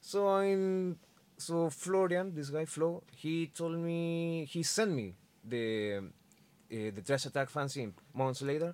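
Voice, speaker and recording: A man's fairly high, lively voice at a very slow pace, in a very clean recording with a silent background. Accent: Spanish. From Chile. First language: Spanish. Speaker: metal musician. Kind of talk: casual chat. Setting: studio. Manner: halting.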